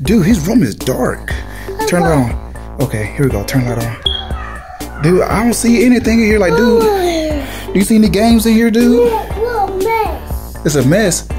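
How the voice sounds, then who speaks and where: Loud music plays in the background. The speech moves at a fairly slow pace. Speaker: family vlogger father. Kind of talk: casual vlog chat. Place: home room. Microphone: phone near.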